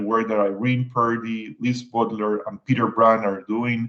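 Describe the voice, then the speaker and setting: A man's voice sits at a medium pitch and moves at a moderate pace. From Puerto Rico. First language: Spanish. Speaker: environmental agency official. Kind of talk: prepared panel remarks.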